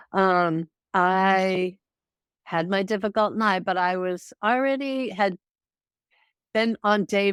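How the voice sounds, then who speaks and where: At a very slow pace, a woman with an American accent speaks at a medium pitch with ordinary pitch variation, in a dry, close sound with no echo on a very clean recording with a silent background. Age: 60s. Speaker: retiree sharing sobriety story. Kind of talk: interview testimony.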